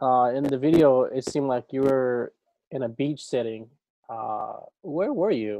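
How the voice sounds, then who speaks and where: An ordinary speaking voice comes from a man at medium pitch. He talks fairly slowly with ordinary pitch variation. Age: 30s. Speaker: podcast host. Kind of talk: interview.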